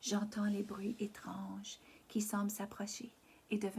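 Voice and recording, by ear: Here someone is reading aloud in a natural voice.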